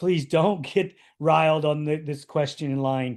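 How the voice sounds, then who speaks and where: Against a quiet background, a man talks at a fairly slow pace. His is an unremarkable speaking voice with a fairly high pitch. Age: 50s. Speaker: podcast host. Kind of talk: podcast interview.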